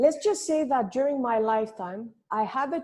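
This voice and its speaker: A woman with a non-native accent speaks at a moderate pace in a dark, mellow tone. Her intonation is lively, and the background is quiet. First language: not English. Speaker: finance entrepreneur. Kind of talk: podcast interview.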